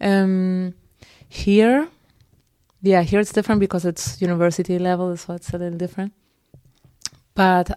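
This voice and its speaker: This woman has a dark, mellow tone and a fairly low pitch with fairly even intonation. The recording is very clean, with a silent background. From Spain, Madrid. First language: Spanish. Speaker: teacher. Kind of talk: casual interview chat. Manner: hesitant, many fillers.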